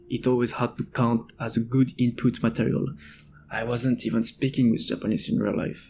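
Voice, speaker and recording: Delivered at a moderate pace with fairly even intonation, this voice carries vocal fry and a strong French accent. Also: man, medium pitch for a man. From France. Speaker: language-learning video creator. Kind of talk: personal essay narration.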